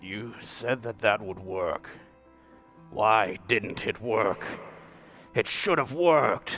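Over clear music in the background, a man with a medium pitch talks at a very slow pace, with long, frequent pauses and ordinary pitch variation. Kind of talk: melodramatic villain speech. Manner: angry, menacing.

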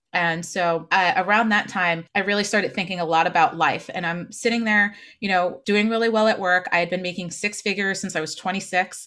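A woman with an American accent speaks in a bright, sharp tone with fairly even intonation. The recording is very clean, with a silent background. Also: medium pitch for a woman, hardly any pauses. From New Jersey. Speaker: marketing mentor and author. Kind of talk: interview.

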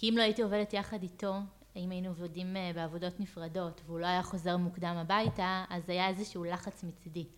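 Monotone, flat intonation runs through a woman's speech at a fairly quick pace. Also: medium pitch for a woman. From Israel, Hefer Valley moshav. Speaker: real estate agent. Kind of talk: interview.

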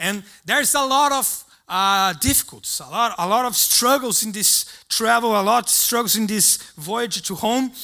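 Raised and projected, a man's voice with a Brazilian accent carries a bright, sharp tone and high pitch, with ordinary pitch variation at a moderate pace, in a very clean recording with a silent background. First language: Portuguese. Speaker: preacher. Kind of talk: sermon. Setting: church. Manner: halting.

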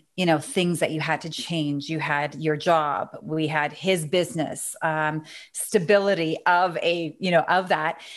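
A woman speaks at a moderate pace in an ordinary speaking voice, her pitch fairly low and her intonation fairly even. The background is quiet. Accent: Canadian. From Canada. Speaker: business consultant and author. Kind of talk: interview.

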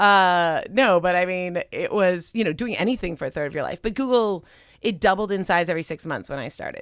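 A medium-pitched woman's voice in an American accent, fairly quick, with ordinary pitch variation, on a very clean recording with a silent background. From Southern California, Pasadena. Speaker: venture capitalist and podcast host. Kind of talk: casual interview chat. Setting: studio, wearing headphones.

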